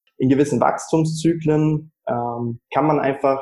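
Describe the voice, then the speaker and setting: A man's fairly high voice has a dark, mellow tone and a somewhat breathy quality. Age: 20s. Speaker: startup founder. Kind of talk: interview.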